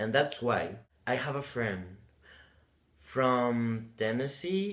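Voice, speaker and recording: A man with a Spanish accent at a fairly slow pace, ordinary pitch variation and audible room echo. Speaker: vlogger. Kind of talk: casual vlog. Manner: halting.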